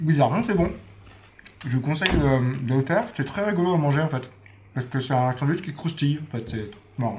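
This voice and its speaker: A man speaks at a fairly high pitch with lively intonation and a fairly quick pace. He leaves long, frequent pauses. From France. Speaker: travel vlogger. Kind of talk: travel vlog. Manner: casual, hesitant with many fillers.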